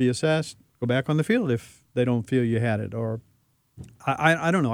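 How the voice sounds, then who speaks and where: In a very clean recording with a silent background, a man uses an ordinary speaking voice at medium pitch with ordinary pitch variation. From St. Louis, Missouri. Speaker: doctor and teacher. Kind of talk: interview.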